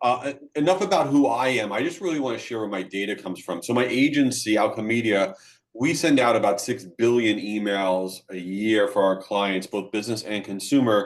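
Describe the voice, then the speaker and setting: A man's fairly low voice at a fairly quick pace, with hardly any pauses and ordinary pitch variation. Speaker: email marketing agency speaker. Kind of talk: webinar presentation. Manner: fast.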